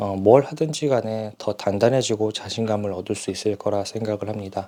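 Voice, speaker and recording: A man speaks at a fairly low pitch and a fairly slow pace, with ordinary pitch variation. The recording is very clean, with a silent background. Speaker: stuttering practice speaker. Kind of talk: casual talk to camera. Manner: hesitant, with filler sounds.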